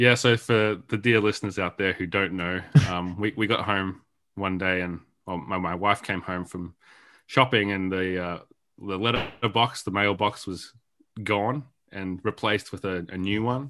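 This man has an Australian accent and a bright, sharp tone. His pitch is fairly low, his intonation fairly even, and his pace moderate. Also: quiet background. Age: 30s. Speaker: video game writer and sound designer. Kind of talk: interview.

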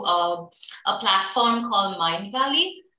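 Over audible room echo, a woman talks at a fairly slow pace with lively intonation. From UAE (Abu Dhabi), Indian-born. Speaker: HR consultant and entrepreneur. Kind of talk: casual interview.

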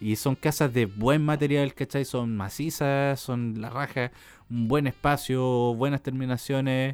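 A man's voice at a fairly high pitch. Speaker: podcast co-host. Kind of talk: casual chat.

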